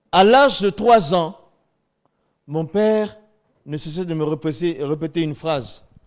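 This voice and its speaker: A high-pitched man speaks at a fairly slow pace with lively intonation and long, frequent pauses. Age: 50s. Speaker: pastor. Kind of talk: testimony.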